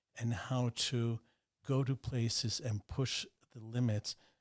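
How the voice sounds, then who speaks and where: Recorded with a dry, close sound and no echo, a man speaks somewhat breathily at medium pitch with monotone, flat intonation. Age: 60s. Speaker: banker and businessman. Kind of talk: interview conversation.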